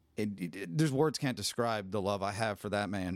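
A plain, everyday voice from a man, fairly low in pitch with ordinary pitch variation, at a fairly quick pace, dry and close with no echo in a very clean recording with a silent background. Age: 40s. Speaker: podcast host. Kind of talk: casual chat.

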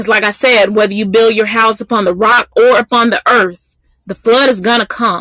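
This woman's fairly high voice has a bright, sharp tone and a flat, monotone delivery, moving at a moderate pace in a dry, close recording with no echo. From US South, Mississippi. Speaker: Bible teacher. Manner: earnest, building preacher's rhythm with repetition; conversational with frequent 'um' fillers.

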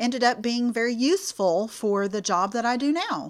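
Speaking at a moderate pace with a Texan accent, a woman uses a fairly high pitch and lively intonation. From Clear Lake area south of Houston, Texas. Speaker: substance abuse prevention worker. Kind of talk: interview.

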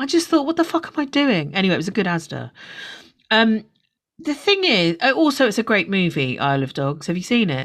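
With a London accent, a woman talks at a fairly quick pace in very wide pitch swings and vocal fry. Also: fairly high pitch for a woman. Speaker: podcast host. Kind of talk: casual chat.

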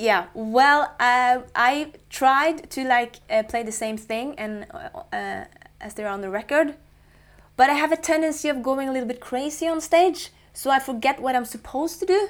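Speaking with a Norwegian accent, a woman uses a high pitch and big swings in loudness. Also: lively intonation, moderate pace. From central coastal Norway. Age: 20s. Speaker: guitarist and singer-songwriter. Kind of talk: casual interview. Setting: studio.

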